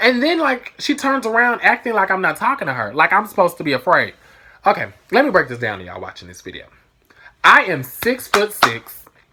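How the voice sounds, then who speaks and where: An animated woman at medium pitch, bright and sharp in tone with vocal fry, very wide pitch swings, big swings in loudness and a fairly quick pace. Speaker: vlogger. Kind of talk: storytime vlog.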